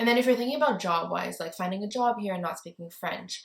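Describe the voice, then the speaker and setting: A woman with a Montreal accent. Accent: Montreal anglophone Canadian English. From Montreal, Quebec, Canada (anglophone area). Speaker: lifestyle YouTuber. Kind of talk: casual vlog talk to camera. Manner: casual, lots of filler 'like'.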